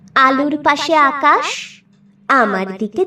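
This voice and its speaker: Her voice, a woman's, moves through very wide pitch swings. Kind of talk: poetry reading. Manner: emotional, expressive.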